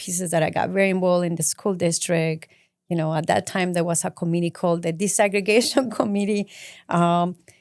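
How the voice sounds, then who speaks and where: Speaking with a Mexican accent, a woman uses a medium pitch and fairly even intonation. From Mexico City. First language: Spanish. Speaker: community advocate. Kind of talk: interview.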